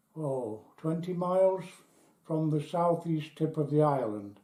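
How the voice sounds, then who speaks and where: A man in an English accent, fairly high-pitched with a dark, mellow tone, ordinary pitch variation and a fairly slow pace, with audible room echo. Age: 80s+. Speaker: British nuclear test veteran. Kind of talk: testimony. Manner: halting.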